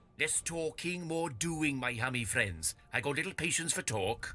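A man's gruff, put-on character voice at a fairly high pitch and moderate pace, with music in the background. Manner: gruff, impatient, grunting.

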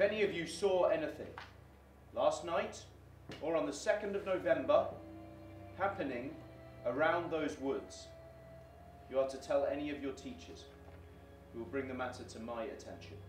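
A man speaks at a moderate pace with long, frequent pauses and big swings in loudness. Music plays in the background, and the room echo is audible. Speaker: actor playing a police detective. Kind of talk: dramatic monologue addressing schoolchildren. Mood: grave, firm, reassuring. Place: studio.

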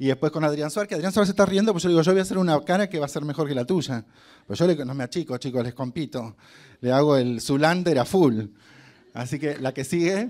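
A man's animated, very fast delivery, fairly high in pitch, with lively intonation against a quiet background. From Argentina, Concordia (Entre Ríos); Entre Ríos, Argentina. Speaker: hotel marketing director and actor giving a motivational talk; actor giving a motivational talk. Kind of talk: motivational talk to students. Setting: stage with student audience. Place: hall. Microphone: handheld.

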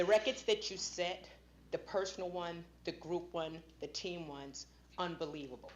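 Speaking at a moderate pace, a woman uses a fairly low pitch with ordinary pitch variation and big swings in loudness. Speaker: school board member. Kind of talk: public meeting speech.

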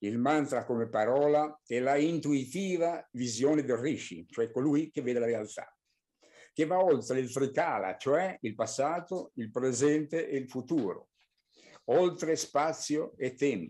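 A man speaks fairly slowly with a dark, mellow tone and a fairly high pitch. His pitch varies in an ordinary way over a quiet background. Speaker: spiritual teacher. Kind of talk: lecture. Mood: calm, earnest. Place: home room. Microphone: video call.

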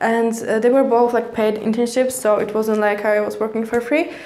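Light background noise sits behind a woman who speaks with a Polish accent in a fairly high pitch. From Poland. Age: 20s. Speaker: vlogger. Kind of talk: personal vlog monologue. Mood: calm, reflective storytelling. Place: home room.

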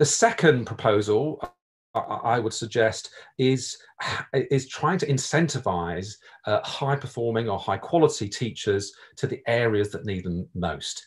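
Against a quiet background, a man speaks at a fairly slow pace with lively intonation and a somewhat breathy voice. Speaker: professor. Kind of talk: panel discussion. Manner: repeats words, halting. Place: home room. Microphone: video call.

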